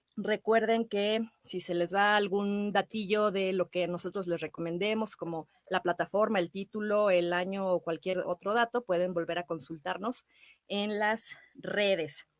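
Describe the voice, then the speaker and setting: An ordinary speaking voice with fairly even intonation, dry and close with no echo. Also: woman, medium pitch for a woman, fairly slow pace. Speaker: radio host and actress. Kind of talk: radio show host talk, film recommendations. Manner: warm, friendly.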